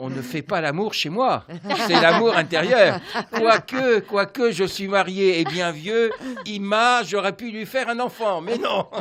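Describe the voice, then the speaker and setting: A man at a very slow pace, high in pitch with lively intonation, over noticeable background noise. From France. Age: 60s. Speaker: energy healer. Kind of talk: radio interview.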